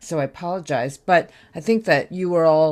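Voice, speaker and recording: A woman with an American accent, fairly low-pitched and fairly slow, on a very clean recording with a silent background. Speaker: university professor. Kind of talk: lecture. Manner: hesitant, filler-heavy.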